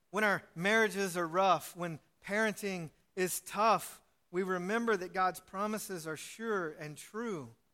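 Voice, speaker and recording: A man speaks in a raised, projected voice, high in pitch with a bright, sharp tone. He goes at a fairly slow pace with ordinary pitch variation. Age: 40s. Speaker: pastor. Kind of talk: sermon. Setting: church.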